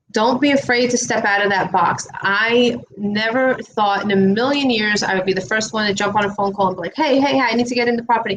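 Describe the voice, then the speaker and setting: A woman speaks with a strong New York accent. Her pace is fairly quick, with ordinary pitch variation. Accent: New York accent, still strong. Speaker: real estate investor. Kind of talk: interview conversation. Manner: animated.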